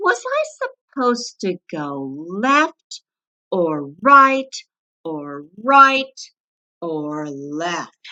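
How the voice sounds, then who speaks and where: In a put-on character voice, a woman at medium pitch makes very wide pitch swings, speaking at a very slow pace with long, frequent pauses. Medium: read story. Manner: eager, puzzled.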